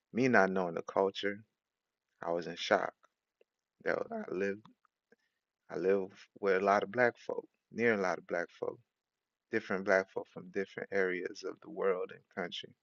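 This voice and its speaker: Using long, frequent pauses and big swings in loudness, a man with an American accent talks at a moderate pace. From Haiti. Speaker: preacher. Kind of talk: sermon.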